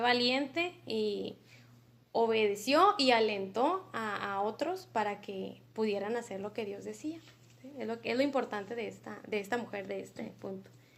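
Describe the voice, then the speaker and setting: Speaking at a fairly slow pace, a woman with a fairly high pitch and a bright, sharp tone uses ordinary pitch variation while her loudness swings widely. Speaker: Bible study teacher. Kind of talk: Bible study lesson.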